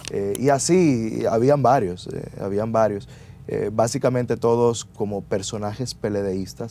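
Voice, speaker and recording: The sound is dry with no echo, and light background noise can be heard. A man speaks in a Dominican accent at a moderate pace, with ordinary pitch variation. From Dominican Republic. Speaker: lawyer. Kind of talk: interview. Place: studio. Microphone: lapel.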